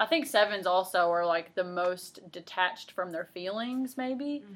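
In a normal speaking voice, a woman talks at a medium pitch. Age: 20s. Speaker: podcast host. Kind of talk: casual chat.

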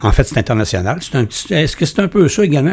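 A man is speaking. He has a Quebec accent. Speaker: podcast host. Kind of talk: interview.

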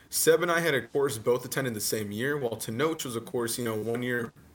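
A man with an unremarkable speaking voice talks at a fairly quick pace, using a medium pitch and ordinary pitch variation. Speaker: podcast host and streamer. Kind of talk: casual chat.

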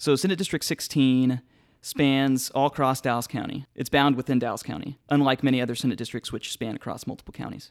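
On a very clean recording with a silent background, a man speaks at a very fast pace in a medium pitch with fairly even intonation. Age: 20s. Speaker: political candidate. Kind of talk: casual interview.

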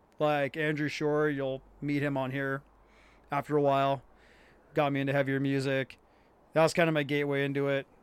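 A man with an American accent, fairly high in pitch, fairly quick yet with long, frequent pauses, his intonation monotone and flat, on a very clean recording with a silent background. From US Pacific Northwest.

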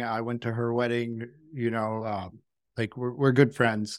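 On a very clean recording with a silent background, a man with an unremarkable speaking voice talks at a moderate pace and a medium pitch. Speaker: podcast host, tattoo artist. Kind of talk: casual interview.

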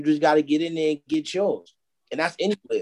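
The pace is fairly quick, with fairly even intonation. The sound is dry and close, with no echo. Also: man. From New York City (Harlem). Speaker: musician and clothing entrepreneur. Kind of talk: casual interview.

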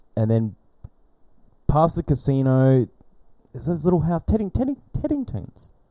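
Speaking at a moderate pace with an Australian accent, a man uses a fairly high pitch, a dark, mellow tone and lively intonation, pausing long and often, in a dry, close sound with no echo. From Perth and the Pilbara, Western Australia. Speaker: podcaster. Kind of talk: casual chat.

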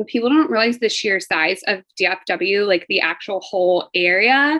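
A woman's plain, everyday voice with an American accent, medium in pitch, fairly slow, and lively in intonation. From Fort Worth, Texas. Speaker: flight attendant and real estate agent. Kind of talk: casual chat.

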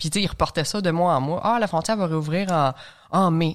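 Fairly even intonation in a Quebec accent, on a very clean recording with a silent background. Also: woman. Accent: Québécois French. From Quebec, Lanaudière (L'Assomption). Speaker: long-distance hiker. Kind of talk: interview, casual chat.

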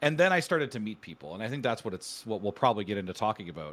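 The voice has vocal fry and moves at a very fast pace. The recording is very clean, with a silent background. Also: man. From Canada. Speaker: streamer. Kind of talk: casual interview chat.

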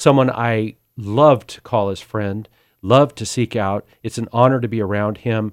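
With an American accent, a man in a normal speaking voice talks at a fairly slow pace and medium pitch, his intonation fairly even but his loudness swinging widely, on a very clean, dry, close recording with no echo and a silent background. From US West, Sacramento, California. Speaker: agricultural communicator and charity board member. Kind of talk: testimony.

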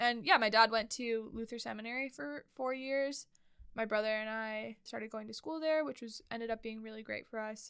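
With an American accent, a woman in an unremarkable speaking voice talks at a moderate pace and a fairly high pitch, her pitch varying in the ordinary way and her loudness swinging widely. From Montana. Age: 20s. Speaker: podcast host, church worker. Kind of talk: casual chat.

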